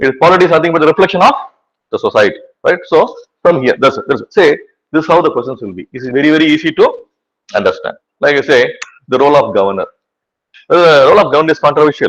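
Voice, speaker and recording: A man with a Tamil accent at a very fast pace, broken by long, frequent pauses. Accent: Tamil-accented Indian English. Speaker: teacher. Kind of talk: lecture. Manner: repetitive filler 'right'.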